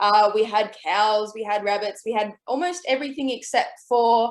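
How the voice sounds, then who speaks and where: Fairly slowly, a woman talks with an Australian accent. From Australia, New South Wales (Port Macquarie). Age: 20s. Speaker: author and illustrator. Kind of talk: online presentation with slides.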